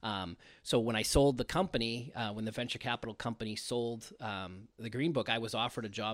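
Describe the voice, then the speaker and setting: A man with a Boston accent speaks at a moderate pace on a very clean recording with a silent background. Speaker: marketing executive. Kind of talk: casual interview.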